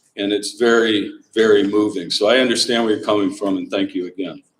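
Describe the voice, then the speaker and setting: With lively intonation, a man speaks at a medium pitch and moderate pace. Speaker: regatta organizer. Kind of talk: awards ceremony speech.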